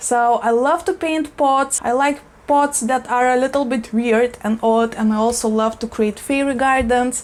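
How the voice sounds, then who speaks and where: A woman with a non-native accent and a high pitch speaks at a moderate pace with ordinary pitch variation. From Eastern Europe. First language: not English. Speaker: plant YouTuber. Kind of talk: casual vlog talk. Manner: animated.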